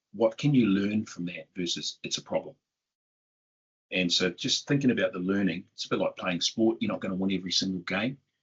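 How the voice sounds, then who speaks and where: This man speaks with a New Zealand accent. His pace is fairly quick. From southern New Zealand. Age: 50s. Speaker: tech company CEO. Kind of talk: interview.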